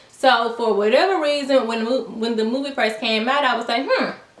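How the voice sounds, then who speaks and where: With audible room echo and noticeable background noise, a woman of fairly high pitch talks at a moderate pace with ordinary pitch variation. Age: 20s. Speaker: YouTuber. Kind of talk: storytime vlog. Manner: casual, slangy.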